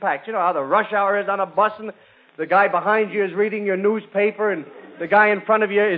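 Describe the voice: Text is being read aloud. The delivery is plain.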